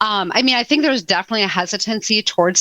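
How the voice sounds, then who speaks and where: A woman with an American accent talks in a bright, sharp tone with ordinary pitch variation, the sound dry and close with no echo, in a very clean recording over a silent background. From Wisconsin, Madison area. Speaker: HR technology expert. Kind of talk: podcast interview.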